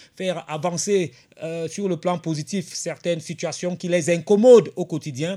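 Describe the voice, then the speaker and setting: On a very clean recording with a silent background, a man with a high pitch and a dark, mellow tone speaks with fairly even intonation. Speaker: radio host. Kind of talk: radio talk show monologue.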